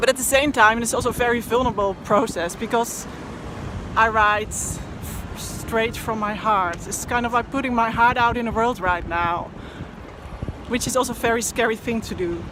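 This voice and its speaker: There is noticeable background noise behind a woman speaking. Her fairly high voice moves at a moderate pace. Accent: Dutch. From Netherlands. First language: Dutch. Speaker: poet and blogger. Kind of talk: personal vlog monologue. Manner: halting, with fillers.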